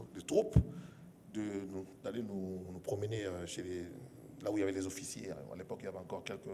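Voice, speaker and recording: Audible room echo surrounds a man whose pitch sits fairly low. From DR Congo, Kinshasa (Kasa-Vubu area), later Katanga. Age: 60s. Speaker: media personality. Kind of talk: interview. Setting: stage with audience. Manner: hesitant, many fillers.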